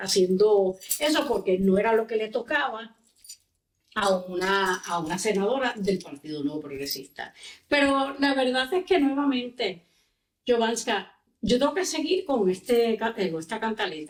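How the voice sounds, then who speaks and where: Very wide pitch swings mark this woman's fairly high voice as she speaks at a fairly slow pace. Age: 60s. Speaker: politician and lawyer. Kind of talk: podcast interview.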